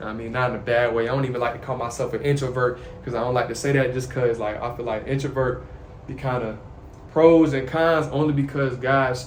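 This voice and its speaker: Background noise is noticeable and room echo is audible as a man talks at a fairly quick pace. His pitch is medium and his intonation fairly even. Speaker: YouTuber sharing faith and life. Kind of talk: casual monologue to camera. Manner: soft-spoken.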